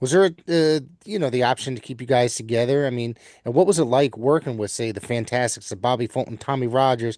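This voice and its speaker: Over a quiet background, a man talks at a very fast pace in a medium pitch with ordinary pitch variation. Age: 50s. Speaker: podcast host. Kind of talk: interview. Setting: podcast interview.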